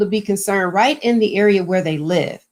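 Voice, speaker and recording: Music in the background behind a woman at a moderate pace. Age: 60s. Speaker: mayor. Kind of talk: panel interview.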